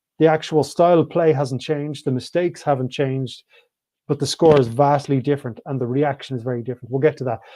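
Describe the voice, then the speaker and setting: With an Irish accent, a man speaks very fast in a fairly high, dark, mellow voice with fairly even intonation. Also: quiet background. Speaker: rugby pundit. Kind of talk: live show commentary. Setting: online live stream.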